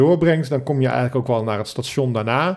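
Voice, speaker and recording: This is a man with an ordinary speaking voice. His pitch is medium and varies in an ordinary way. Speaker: podcast host. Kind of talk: casual interview. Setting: home kitchen table with microphone.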